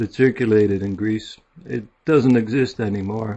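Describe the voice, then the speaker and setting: Speaking with a Midwestern accent, a man talks at a moderate pace with a fairly low pitch and fairly even intonation. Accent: American Midwest. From US Midwest (Warren, Ohio). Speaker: author and journalist. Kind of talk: self-introduction. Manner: soft-spoken.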